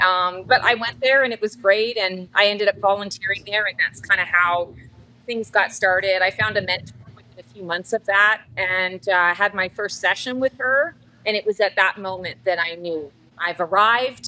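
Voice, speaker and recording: The tone is bright and sharp, with a Canadian accent and ordinary pitch variation. Delivery comes at a moderate pace with big swings in loudness. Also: woman, medium pitch for a woman. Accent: Canadian, noticeable. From Canada. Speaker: psychic. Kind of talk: casual interview chat. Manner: talkative, long-winded.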